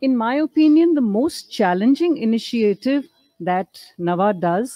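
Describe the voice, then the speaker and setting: With an Indian accent, a woman speaks at a fairly slow pace in a dark, mellow tone, her pitch swinging very widely. The sound is dry with no echo, and the background is quiet. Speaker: guest speaker, naval wives association former president; guest. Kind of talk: speech at book launch. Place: hall. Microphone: podium.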